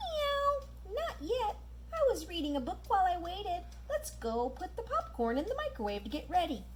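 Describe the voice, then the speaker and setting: A cartoonish character voice moves at a moderate pace over clear background noise. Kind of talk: children's puppet show.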